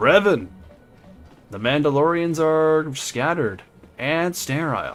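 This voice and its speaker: A man puts on a gruff character voice pitched fairly high, speaking at a fairly slow pace with lively intonation and long, frequent pauses while music plays in the background. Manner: gruff, declamatory.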